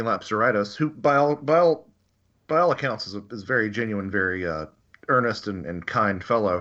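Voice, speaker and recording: An American accent with a bright, sharp tone, lively intonation and a fairly quick pace. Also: man. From US South. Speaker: author and researcher. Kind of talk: interview. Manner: halting.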